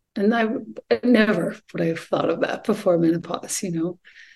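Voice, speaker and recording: The voice has vocal fry and lively intonation. It moves at a moderate pace. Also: woman. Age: 50s. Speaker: yoga teacher and poet. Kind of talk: casual chat.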